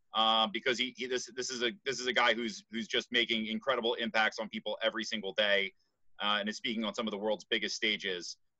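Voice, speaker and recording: A man talks at a very fast pace with ordinary pitch variation. The sound is dry with no echo, over a quiet background. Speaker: sales team leader. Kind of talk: casual chat. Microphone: video call.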